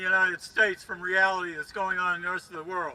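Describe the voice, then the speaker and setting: A man speaks in a raised, projected voice. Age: 80s+. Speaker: protest speaker. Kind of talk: rally speech.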